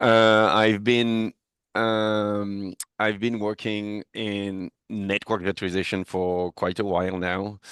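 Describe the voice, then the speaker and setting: In a French accent, a man with a fairly low pitch talks at a very slow pace and in a flat monotone against a quiet background. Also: dry, close sound with no echo. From France. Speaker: technical product manager, network engineer. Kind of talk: tech podcast interview.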